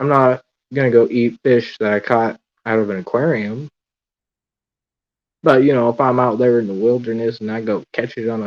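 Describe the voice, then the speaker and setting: The background is quiet, and the sound is dry and close with no echo. A man talks at a medium pitch with fairly even intonation. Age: 20s. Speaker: aquarium hobbyist livestreamer. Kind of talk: casual livestream chat. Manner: monotone.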